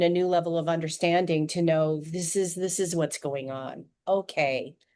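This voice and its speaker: A woman speaks in a US Northwest accent with a dark, mellow tone. Her pace is moderate and her intonation fairly even, over a quiet background. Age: 60s. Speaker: adoptee author. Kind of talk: podcast interview.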